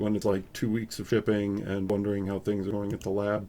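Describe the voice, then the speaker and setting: Fairly low in pitch and dark, mellow in tone, a man's voice moves at a fairly quick pace. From Upstate New York. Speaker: photography youtuber. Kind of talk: casual live stream chat. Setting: live stream at home. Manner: casual, filler-heavy.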